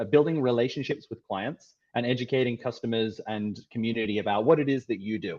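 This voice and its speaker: Speaking at a fairly quick pace, a man with an Australian accent keeps a medium pitch and fairly even intonation. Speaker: tech company founder and CEO. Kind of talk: presentation.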